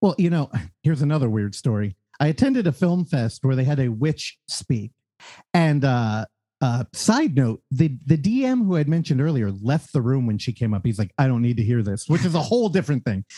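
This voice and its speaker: Dark, mellow and somewhat breathy, a man's medium-pitched voice moves at a fairly quick pace with lively intonation, recorded with a dry, close sound and no echo. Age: 30s. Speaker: podcast host. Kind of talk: casual chat.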